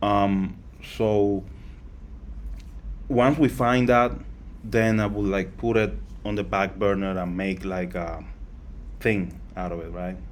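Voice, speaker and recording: A man's fairly low voice at a very slow pace, with long, frequent pauses, ordinary pitch variation and audible room echo. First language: not English. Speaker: crypto project founder. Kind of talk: live Q&A session. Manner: halting, with fillers and repetitions.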